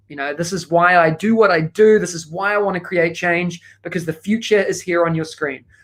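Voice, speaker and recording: With a strong New Zealand accent, a man talks at a fairly quick clip in a high voice, hardly pausing at all. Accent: thick New Zealand. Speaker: education consultant. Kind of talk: keynote talk. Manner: fast; animated.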